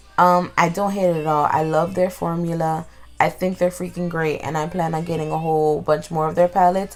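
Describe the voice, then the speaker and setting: Over music in the background, a woman speaks at a fairly low pitch and a fairly quick pace with monotone, flat intonation. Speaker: beauty vlogger. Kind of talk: makeup tutorial voiceover. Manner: casual, chatty.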